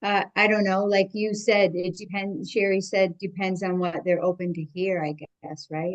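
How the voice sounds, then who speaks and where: Fairly slow and unhurried, a woman talks in a plain, everyday voice. Her pitch is medium. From Canada. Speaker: workshop participant. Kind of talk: group discussion.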